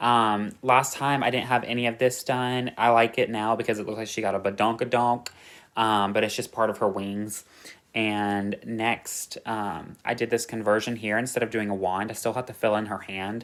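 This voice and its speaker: In a very clean recording with a silent background, a man speaks. His pitch is medium and his pace moderate. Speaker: cross-stitch vlogger. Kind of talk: casual chat. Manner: halting; animated.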